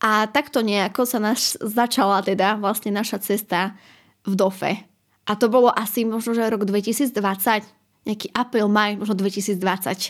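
In an unremarkable speaking voice, a woman talks at a moderate pace with fairly even intonation and a fairly high pitch. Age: 20s. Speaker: university student. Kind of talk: interview.

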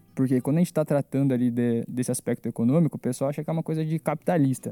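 A man's fairly high voice, dark and mellow in tone, at a very fast pace, with ordinary pitch variation and a dry, close sound free of echo. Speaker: finance professional. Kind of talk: casual chat.

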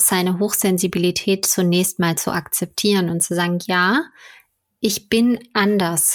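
An ordinary speaking voice, delivered at a fairly slow pace. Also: woman. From Ruhr area, Germany. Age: 30s. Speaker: magazine founder and editor. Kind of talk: casual interview.

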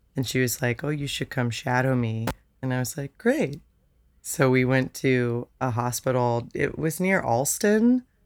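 A woman talks at a fairly slow pace. Her pitch is very deep and low, with ordinary variation. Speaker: singer-songwriter guest. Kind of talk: casual interview chat.

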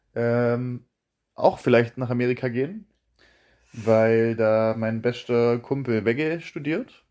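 Speaking very slowly with long, frequent pauses, a man uses fairly even intonation. His tone is dark and mellow against a quiet background. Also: medium pitch for a man. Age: 20s. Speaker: podcast host. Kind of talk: casual chat.

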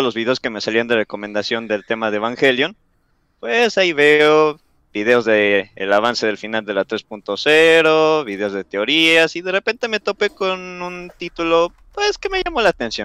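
Speaking at a fairly slow pace, a man with a fairly high, bright, sharp voice makes very wide pitch swings on a very clean recording with a silent background. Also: dry, close sound with no echo. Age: young. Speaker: YouTuber. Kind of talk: casual chat.

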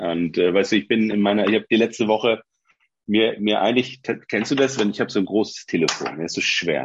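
This is a man with an unremarkable speaking voice, pitched fairly low. He talks at a fairly quick pace with ordinary pitch variation. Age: 40s. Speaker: former teacher. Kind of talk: casual chat.

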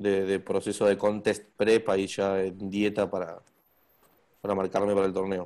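On a very clean recording with a silent background, a man speaks at a moderate pace in a monotone, flat intonation. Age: 20s. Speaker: bodybuilder. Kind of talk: interview. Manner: talkative.

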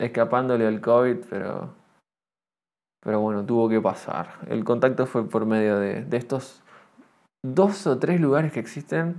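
Against a silent background on a very clean recording, a man with a medium pitch speaks at a fairly slow pace. His intonation is lively, and he takes long, frequent pauses. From Argentina. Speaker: podcaster. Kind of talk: solo monologue podcast. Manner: halting, many fillers; tends to speak loudly.

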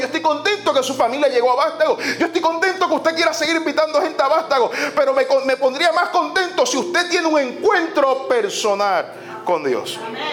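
Extremely high in pitch, a man speaks at a fairly quick pace with lively intonation and hardly any pauses. Noticeable background noise and audible room echo surround him. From Puerto Rico. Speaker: pastor. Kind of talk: sermon. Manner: animated.

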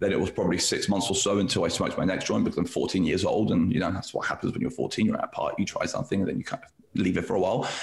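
A man talking at a very fast pace with hardly any pauses, amid noticeable background noise. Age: 30s. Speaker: CBD lab director. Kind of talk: casual interview chat. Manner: halting, repeats words.

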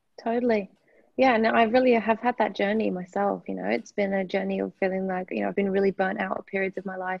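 A woman speaks with an Australian accent at a fairly quick pace. Her medium-pitched voice has fairly even intonation. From UK. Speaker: somatic sexologist and founder of an intimacy institute. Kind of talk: casual interview chat.

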